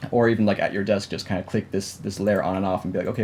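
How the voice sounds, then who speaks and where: A man rattles along at a very fast pace, fairly low in pitch, with ordinary pitch variation. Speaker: digital art instructor. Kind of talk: tutorial. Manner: halting.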